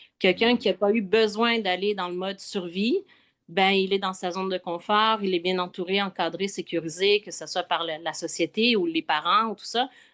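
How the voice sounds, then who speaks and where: Against a quiet background with a dry, close sound and no echo, a woman of medium pitch speaks at a moderate pace with fairly even intonation. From Quebec. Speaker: spiritual travel guide. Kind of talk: casual chat. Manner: hesitant, many fillers.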